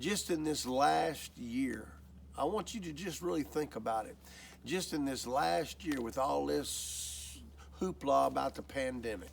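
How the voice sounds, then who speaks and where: Talking at a fairly slow pace, a man is heard with audible room echo. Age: 60s. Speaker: lay preacher. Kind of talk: sermon. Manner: earnest, exhorting.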